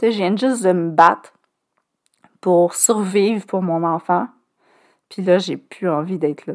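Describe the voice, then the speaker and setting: Long, frequent pauses break up the very slow speech of someone with a Quebec accent. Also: woman, medium pitch for a woman, ordinary pitch variation. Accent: Québécois French. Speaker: podcast host, cancer survivor. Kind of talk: personal testimony monologue. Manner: hesitant, many filler sounds.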